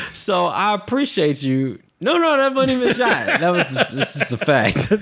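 A man speaks in a high voice with very wide pitch swings and very even loudness. Background noise is noticeable. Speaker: podcast co-host. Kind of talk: casual chat. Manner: speeds up when excited; slow right now.

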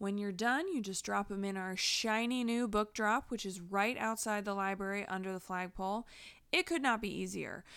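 With a normal speaking voice, a woman talks at a moderate pace and medium pitch with ordinary pitch variation, on a very clean recording with a silent background. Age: 30s. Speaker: librarian and podcast host. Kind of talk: community announcements podcast.

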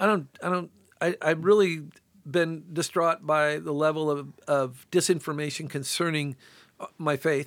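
A man with a normal speaking voice talks at a fairly slow pace with fairly even intonation and a fairly high pitch. The recording is very clean, with a silent background. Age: 60s. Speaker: sculptor. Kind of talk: casual chat. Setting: studio.

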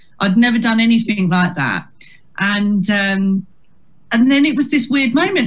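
Talking with a Kent accent, a woman keeps a moderate pace. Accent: Kent (Medway) English, fairly strong on stage. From Chatham, Kent. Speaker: comedian. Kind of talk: casual interview chat. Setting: video call.

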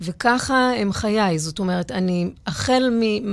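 With ordinary variation in her pitch, a woman talks in a medium register. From Israel (Givatayim). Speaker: psychologist and dancer. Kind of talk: interview conversation. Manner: halting, with many fillers.

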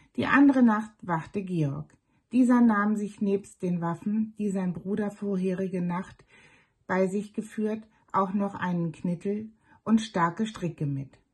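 At a very slow pace, a woman of medium pitch speaks in a calm, soothing tone, somewhat breathy, with ordinary pitch variation. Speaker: storyteller reading fairy tales aloud. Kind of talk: bedtime story reading, fairy tale narration. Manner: calm, slow, soothing storyteller's cadence.

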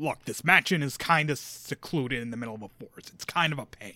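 A man's put-on character voice at medium pitch, very fast, with big swings in loudness. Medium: actual play. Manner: gruff, impatient.

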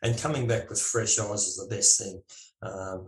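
A somewhat breathy voice with an Australian accent, fairly quick pace and ordinary pitch variation. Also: man. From Australia, Melbourne. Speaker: landscape photographer. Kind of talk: casual interview.

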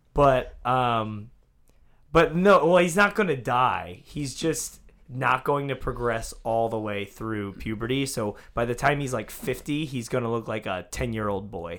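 In an American accent, an ordinary speaking voice moves at a fairly slow pace with lively intonation, on a very clean recording with a silent background. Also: man, medium pitch for a man. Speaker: online video creator and musician. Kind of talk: casual chat.

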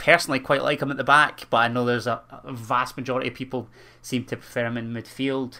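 Speaking with a Scottish accent, a man has a bright, sharp tone and monotone, flat intonation. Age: 20s. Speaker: football podcast co-host. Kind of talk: casual chat.

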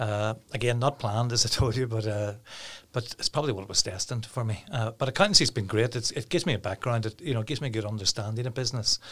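With a Northern Irish accent, a man talks at a very fast pace. His pitch is medium, with ordinary variation. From Northern Ireland, Downpatrick. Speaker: hospitality business owner. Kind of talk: interview. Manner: repetitive, halting.

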